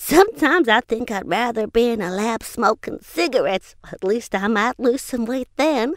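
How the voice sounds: In a put-on character voice, a woman talks at a fairly high pitch with lively intonation and hardly any pauses. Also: moderate pace.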